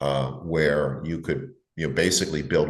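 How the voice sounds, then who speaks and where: A man talks with vocal fry in a room with audible echo. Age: 70s. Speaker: investment advisor. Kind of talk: interview. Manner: halting.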